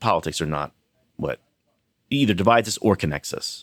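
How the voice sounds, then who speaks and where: In a dry, close sound with no echo, a man with a plain, everyday voice speaks at a fairly low pitch and moderate pace, his intonation lively. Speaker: TV writer and producer. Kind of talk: casual chat. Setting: office.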